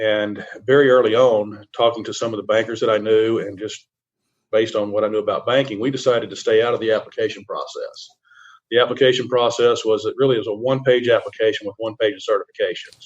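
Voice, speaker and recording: A man speaks with a Southern US accent. He talks at a very fast pace. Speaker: CPA firm risk advisory lead. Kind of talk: radio interview. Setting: remote virtual radio interview. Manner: halting, many repetitions and fillers.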